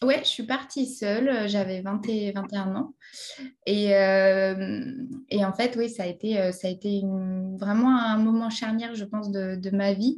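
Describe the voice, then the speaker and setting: Somewhat breathy, a woman speaks very slowly at a medium pitch with fairly even intonation. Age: 20s. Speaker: English trainer and online entrepreneur. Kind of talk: interview. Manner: halting, many repetitions.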